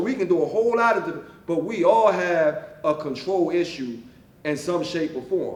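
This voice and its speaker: A man talks loudly and in an animated tone at a moderate pace, with ordinary pitch variation. Noticeable background noise and audible room echo surround him. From West Philadelphia. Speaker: author. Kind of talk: author talk to library audience. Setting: library event with audience.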